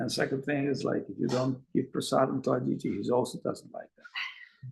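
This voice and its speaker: A man's medium-pitched voice with vocal fry and a non-native accent. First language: Russian. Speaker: spiritual teacher. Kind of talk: lecture. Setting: video call.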